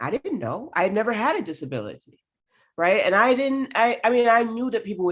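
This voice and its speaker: A woman speaks at a fairly quick pace. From New York. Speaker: university diversity officer. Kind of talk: panel conversation. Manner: fast; animated.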